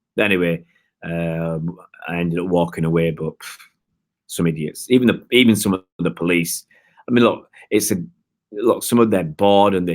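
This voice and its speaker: In a very clean recording with a silent background, a man with a Manchester accent talks at a fairly quick pace in a very deep, low pitch. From northern England, Oldham, Greater Manchester. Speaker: football fan livestreamer. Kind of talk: live-stream chat with viewers. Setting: live stream from home. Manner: hesitant, many fillers and restarts.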